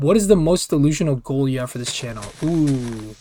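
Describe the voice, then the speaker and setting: The voice belongs to a man and has a dark, mellow tone. Its pitch varies in an ordinary way. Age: 20s. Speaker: gaming commentary YouTuber. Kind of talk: casual gameplay commentary Q&A. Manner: casual, filler-heavy and halting.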